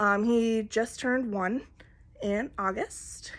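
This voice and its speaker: A woman with a fairly high pitch speaks in an Upper Midwest accent. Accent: Upper Midwest American. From Minnesota. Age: 20s. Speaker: cross-stitch vlogger. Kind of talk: casual chat. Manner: halting.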